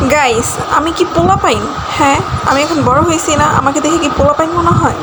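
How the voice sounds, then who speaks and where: Her high-pitched voice carries an animated tone. Audible room echo and noticeable background noise surround this woman. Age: young. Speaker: vlogger. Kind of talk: casual vlog narration. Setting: outdoors at a fair.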